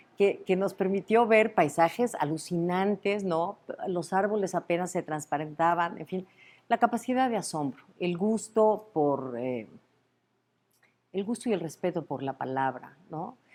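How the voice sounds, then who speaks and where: A woman with a medium pitch speaks at a fairly slow pace with lively intonation. The recording is very clean, the background silent. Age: 60s. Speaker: university rector. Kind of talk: interview. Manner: halting, many fillers.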